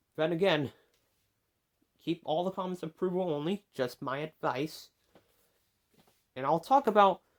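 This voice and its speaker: A man with a fairly high pitch, lively intonation and a moderate pace. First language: not English. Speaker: YouTuber. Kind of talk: opinion monologue. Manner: halting.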